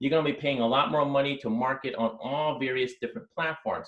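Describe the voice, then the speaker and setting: A man's fairly high voice at a fairly quick pace. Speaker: LinkedIn marketing presenter. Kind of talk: webinar presentation. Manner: fast.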